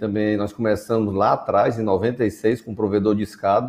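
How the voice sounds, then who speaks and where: A man's fairly low voice stays monotone and flat in intonation as he talks at a moderate pace. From Northeast Brazil (Fortaleza). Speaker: telecom executive and founder. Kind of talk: webinar panel discussion.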